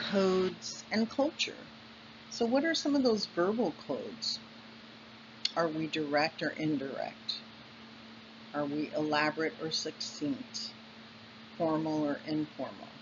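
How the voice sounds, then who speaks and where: A woman with an American accent speaks in a very deep, low voice at a fairly slow pace, with long, frequent pauses. Her pitch swings very widely, and there is noticeable background noise. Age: 60s. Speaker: college instructor. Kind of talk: lecture. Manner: halting, with fillers.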